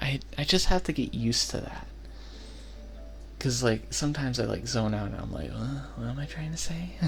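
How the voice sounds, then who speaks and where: A soft-spoken man talks at a fairly quick pace, leaving long, frequent pauses. Music plays in the background. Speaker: ASMR content creator. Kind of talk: ASMR personal attention. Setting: binaural microphone, close to the mic.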